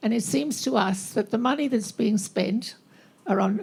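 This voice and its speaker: Woman with an Australian accent, medium pitch, fairly slow pace, ordinary pitch variation, and noticeable background noise. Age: 80s+. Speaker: audience member, bereaved parent advocate. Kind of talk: impassioned statement from the floor.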